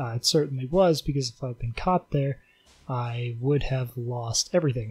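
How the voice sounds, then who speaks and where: Speaking at a fairly quick pace, a man uses a normal speaking voice. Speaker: video game player and commentator. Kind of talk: angry gaming rant, sarcastic commentary over gameplay footage. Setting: recorded late at night at home, voiceover on gameplay. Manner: sarcastic, increasingly furious, heavily profane, bitter and sneering; sardonic, deadpan setup that builds into shouting.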